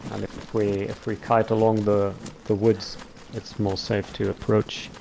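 A man with a German accent speaks at a fairly slow pace in a fairly low, flat monotone over noticeable background noise. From Germany, Cologne. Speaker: online gamer teammate. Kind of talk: casual chat while gaming.

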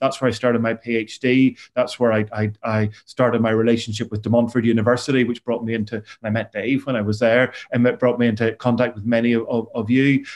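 This man talks at a very fast pace in a monotone, flat intonation. The background is quiet. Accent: Northern Irish. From Northern Ireland. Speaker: university academic, former probation officer; presenter. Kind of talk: webinar presentation. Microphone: video call.

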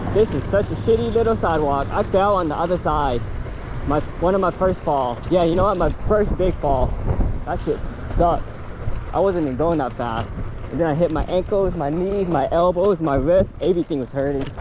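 A man with a high pitch talks at a fairly quick pace with ordinary pitch variation. The sound is dry with no echo, and background noise is noticeable. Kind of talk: casual vlog commentary. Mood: excited, chatty. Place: street. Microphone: camera far.

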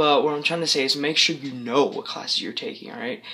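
The man's pitch moves up and down in an ordinary way. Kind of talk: casual vlog chat. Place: home room. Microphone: phone near.

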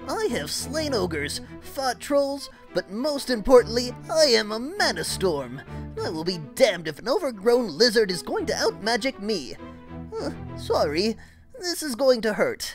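A put-on character voice comes through at a fairly high pitch and a moderate pace. Clear music plays in the background. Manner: earnest, pleading, determined.

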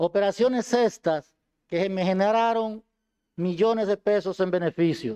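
A man talks at a high pitch in a dark, mellow tone, with ordinary pitch variation. His pace is fairly slow, his loudness very even, and the background quiet. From Dominican Republic, Duarte province; Dominican Republic. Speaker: defendant, former police colonel. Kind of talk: court statement. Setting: courtroom. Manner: formal. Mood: earnest, defensive. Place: hall. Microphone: podium.

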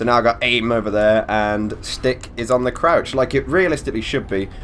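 Over noticeable background noise, a man speaks at a fairly quick pace in a medium pitch with ordinary pitch variation. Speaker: gaming commentator. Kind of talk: let's play commentary. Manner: casual, animated.

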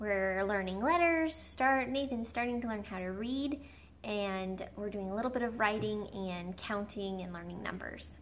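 Her pace fairly slow, a woman speaks with ordinary pitch variation. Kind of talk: casual vlog chat. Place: home room. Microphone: camera far.

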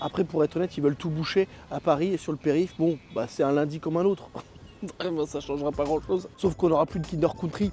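Fairly quick speech with fairly even intonation, a dry sound with no echo, and faint music in the background. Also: man. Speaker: comedic vlogger. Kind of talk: casual vlog chat. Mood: sarcastic, joking. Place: open country. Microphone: lapel.

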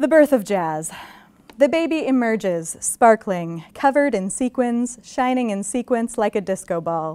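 A woman's voice with a dark, mellow tone moves through very wide pitch swings. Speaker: visiting poet. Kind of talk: poetry reading, unhurried and wry, with playful laughter between poems. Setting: stage with audience. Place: hall.

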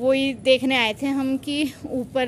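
A woman speaks over light background noise. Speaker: family vlogger. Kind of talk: casual vlog chat. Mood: mildly worried about rain. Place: street. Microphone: phone near.

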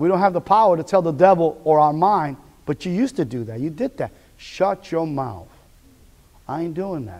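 In an animated tone, a man speaks at a moderate pace with a high pitch and big swings in loudness. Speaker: preacher. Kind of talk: sermon. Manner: animated, call-and-response, repeating phrases for emphasis; teaching, conversational, direct address to the congregation. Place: church. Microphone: podium.

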